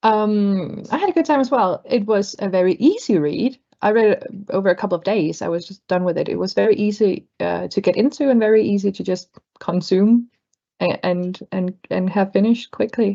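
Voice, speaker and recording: In a Danish accent, a woman with a dark, mellow tone speaks at a moderate pace. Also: medium pitch for a woman, ordinary pitch variation. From Denmark. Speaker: book club panelist. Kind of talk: casual chat. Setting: video call.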